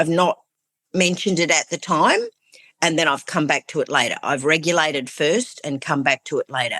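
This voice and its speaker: A woman with a very deep, low pitch talks at a fairly quick pace with ordinary pitch variation. Her tone is bright and sharp, and the sound is dry and close with no echo. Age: 60s. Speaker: coaching client. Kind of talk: personal coaching conversation.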